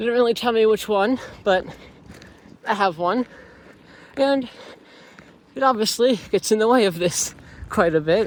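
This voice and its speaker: Using a high pitch with ordinary pitch variation, a man speaks at a moderate pace with long, frequent pauses. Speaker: student vlogger. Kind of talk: vlog monologue. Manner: slurred speech; heavy breathing.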